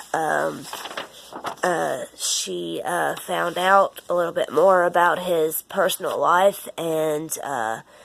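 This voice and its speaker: A woman talks very slowly while noticeable noise carries on in the background. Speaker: education student. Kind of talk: casual vlog reflection on a reading. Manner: halting, many fillers.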